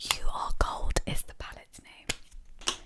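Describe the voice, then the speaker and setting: Noticeable background noise fills the clip. Under it, a woman whispers. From Sri Lankan. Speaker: ASMR makeup creator. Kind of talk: ASMR makeup tutorial.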